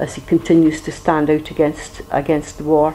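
A woman's very deep, low voice in a Scottish accent, with noticeable background noise. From Aberdeenshire, Scotland. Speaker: trade union leader. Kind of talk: talk at an educational meeting.

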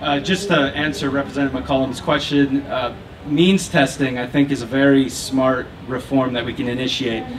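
A man's fairly high voice at a moderate pace, with ordinary pitch variation, over noticeable background noise. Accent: American. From Minnesota, St. Paul; Minnesota. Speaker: Republican candidate for Congress; candidate. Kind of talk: debate answer. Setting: live public debate at fair booth. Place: stage.

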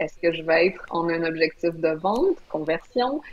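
In a Quebec accent, a woman speaks at a fairly low pitch, with a dry sound and no echo. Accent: Québécois French. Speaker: brand strategist; guest. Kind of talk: live video interview. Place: home room. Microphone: video call.

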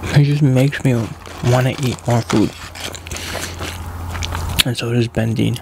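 A man speaks at a fairly slow pace in a monotone, flat intonation with long, frequent pauses, the sound dry with no echo and noticeable background noise. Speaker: ASMR mukbang creator. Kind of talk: casual talk to camera. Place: home room. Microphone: studio mic.

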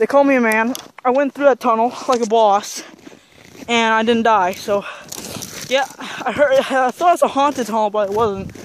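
Light background noise sits under a dry sound with no echo, and the pace is moderate. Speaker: vlogger. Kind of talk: casual vlog chat. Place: open country. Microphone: phone near.

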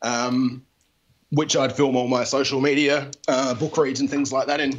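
Monotone, flat intonation comes with a strong Australian accent. The pace is moderate over light background noise. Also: man. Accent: broad Australian. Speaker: comic artist and author. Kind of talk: interview answer. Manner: casual, hesitant. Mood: relaxed, friendly, smiling. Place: home room. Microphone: handheld.

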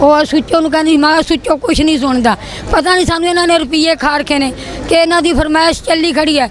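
A woman speaks at an extremely high pitch and a fairly slow pace. The sound is dry with no echo, and there is crowd noise behind her. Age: old. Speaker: complainant grandmother. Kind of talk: public grievance plea to politician. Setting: outdoors public meeting. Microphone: handheld.

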